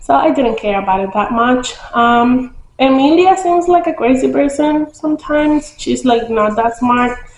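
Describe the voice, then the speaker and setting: Over noticeable background noise, a woman with a high pitch talks at a moderate pace with lively intonation and hardly any pauses. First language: not English. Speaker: book vlogger. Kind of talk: casual book review vlog. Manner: casual, hesitant with many fillers.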